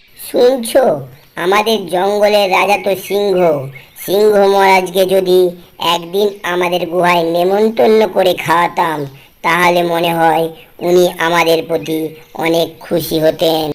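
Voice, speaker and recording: A cartoonish character voice, female-sounding, at medium pitch and a fairly slow pace. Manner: nagging, bossy.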